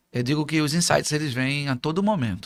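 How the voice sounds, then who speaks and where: On a very clean recording with a silent background, a man speaks at a fairly high pitch and a fairly quick pace with lively intonation. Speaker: motivational speaker. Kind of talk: interview. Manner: fast.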